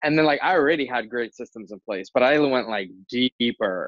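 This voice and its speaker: With a New Jersey accent, a man talks at a fairly quick pace in a medium pitch. His pitch varies in an ordinary way. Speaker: entrepreneur, kitchen and bath contractor. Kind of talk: casual interview chat.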